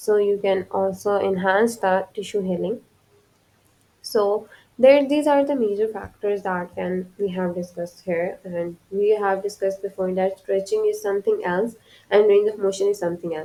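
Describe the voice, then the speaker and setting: A woman with a non-native accent speaks at a moderate pace. Her medium-pitched voice has a dark, mellow tone and fairly even intonation. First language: not English. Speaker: physical therapy lecturer. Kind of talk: lecture. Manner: halting, with fillers and restarts.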